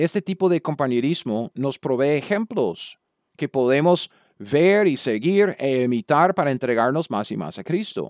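A man with an American accent speaks at a fairly slow pace, his pitch fairly high and his intonation lively. The sound is dry and close, with no echo. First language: English (speaking Spanish). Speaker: Bible teacher. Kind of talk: lecture. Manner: halting.

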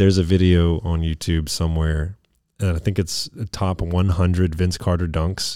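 In a very clean recording with a silent background, a man speaks with a dark, mellow tone and a very deep, low pitch. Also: moderate pace. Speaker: podcast co-host. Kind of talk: casual chat. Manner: animated.

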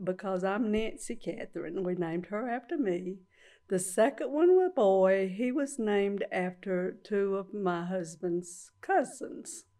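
Against a quiet background, a woman speaks at a fairly slow pace in a medium pitch with a dark, mellow tone. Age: old. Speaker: great-grandmother. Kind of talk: casual interview.

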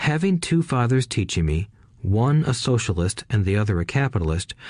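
Against a quiet background, a somewhat breathy man talks at a fairly quick pace. His medium pitch swings very widely. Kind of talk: audiobook reading. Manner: even, measured narration.

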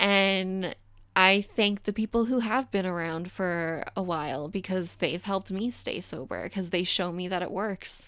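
A woman talks at a fairly slow pace with a medium pitch. She has an American accent and ordinary pitch variation. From Florida, Daytona Beach. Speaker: podcast guest in recovery. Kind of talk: personal story in casual interview. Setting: video call.

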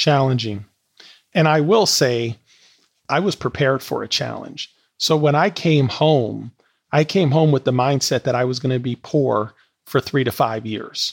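An ordinary speaking voice: a man with an American accent, medium pitch and ordinary pitch variation talks at a moderate pace. The recording is very clean, with a silent background and a dry, close sound with no echo. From Wisconsin, Milwaukee. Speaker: entrepreneur and educator. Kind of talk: interview testimony.

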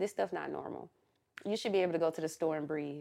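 Over a quiet background, a woman speaks at a fairly low pitch with fairly even intonation. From Atlanta, US South. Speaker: podcast host. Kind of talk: casual chat.

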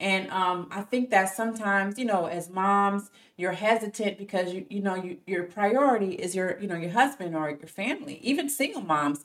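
An unremarkable speaking voice from a woman, medium-pitched, at a moderate pace with hardly any pauses and ordinary pitch variation. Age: 30s. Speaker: tech sales worker and mother. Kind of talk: interview testimony.

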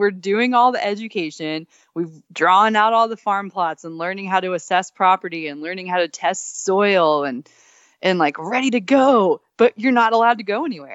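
A woman with an American accent, medium pitch and lively intonation, at a moderate pace, with a normal speaking voice. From Texas. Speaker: dog musher and author. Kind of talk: interview conversation.

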